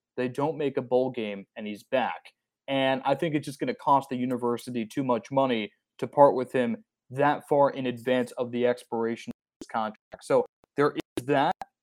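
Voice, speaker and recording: An unremarkable speaking voice, a man's at medium pitch, with an American accent, a moderate pace, and a dry, close sound with no echo on a very clean recording with a silent background. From New Jersey. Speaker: sports podcast host. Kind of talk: casual sports chat.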